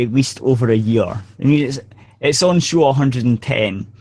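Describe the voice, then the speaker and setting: Speaking with a Scottish accent, a man uses ordinary pitch variation. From Scotland. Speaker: podcast co-host. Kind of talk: casual group chat. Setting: online video hangout.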